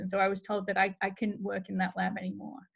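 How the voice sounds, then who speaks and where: The voice carries vocal fry and moves at a fairly quick pace. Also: woman. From England (Cheshire). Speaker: cancer researcher and professor. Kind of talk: guest talk. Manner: hesitant, many fillers.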